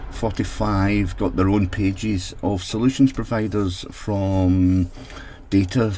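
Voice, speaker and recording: Here a man talks at a fairly slow pace. His pitch is fairly low and his intonation fairly even. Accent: Scottish. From Scotland. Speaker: technology consultant for social housing. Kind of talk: solo mini podcast.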